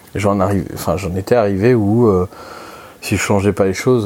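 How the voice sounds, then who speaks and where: Through noticeable background noise, a man speaks at a moderate pace in a fairly low pitch with fairly even intonation. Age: 20s. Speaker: personal finance podcaster. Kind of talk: solo monologue. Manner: halting, many fillers.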